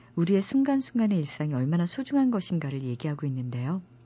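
A woman speaks at a fairly low pitch with very wide pitch swings. Her voice is somewhat breathy. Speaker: radio book show host, announcer. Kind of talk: radio book program hosting and interview. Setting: radio studio.

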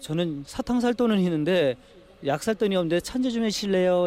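A man talks in an ordinary speaking voice. His pace is fairly quick and his intonation lively. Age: 40s. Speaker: taxi driver. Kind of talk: interview testimony.

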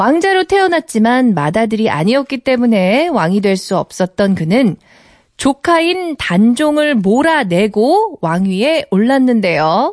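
A fairly high-pitched woman's voice at a very slow pace, with very wide pitch swings and very even loudness, in a dry, close recording with no echo and a quiet background. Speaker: radio co-host. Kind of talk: live radio banter. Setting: studio.

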